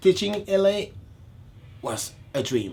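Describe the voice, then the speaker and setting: Somewhat breathy, a man with a Congolese accent speaks with lively intonation. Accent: non-native, Congolese French. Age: 30s. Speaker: dance choreographer. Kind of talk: interview.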